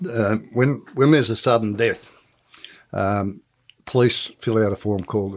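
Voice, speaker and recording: A man with an Australian accent uses ordinary pitch variation, heard on a very clean recording with a silent background. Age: 70s. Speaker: retired police officer. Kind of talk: interview.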